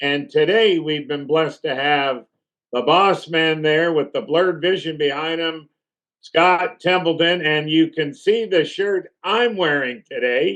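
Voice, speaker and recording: A man speaks in a plain, everyday voice at a fairly slow pace. His pitch sits fairly high, with ordinary pitch variation. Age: 60s. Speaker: talk show host. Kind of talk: interview. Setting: TV studio.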